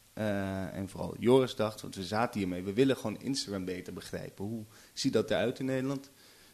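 Using an ordinary speaking voice, a man talks at a fairly quick pace in a fairly low pitch with ordinary pitch variation. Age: 20s. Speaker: journalist. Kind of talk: casual chat.

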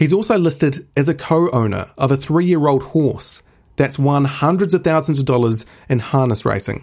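A man's fairly high pitch with ordinary pitch variation, moderate pace and very even loudness, on a very clean recording with a silent background. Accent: New Zealand. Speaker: podcast host for an animal rights group. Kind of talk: scripted news narration.

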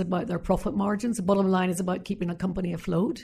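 A woman's somewhat breathy voice with a Northern Irish accent and a dark, mellow tone. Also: quiet background. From Northern Ireland. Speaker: former politician. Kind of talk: interview.

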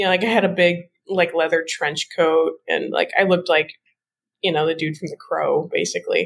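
A woman speaks with a Midwestern accent. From US Midwest. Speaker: tarot deck creator. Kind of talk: casual interview.

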